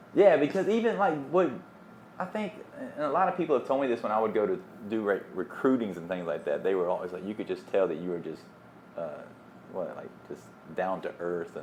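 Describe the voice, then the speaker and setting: A man with a Southern US accent, medium pitch, vocal fry, very wide pitch swings, a fairly quick pace and long, frequent pauses. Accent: Southern accent, kept. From US South, small town. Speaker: DJ. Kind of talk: casual chat.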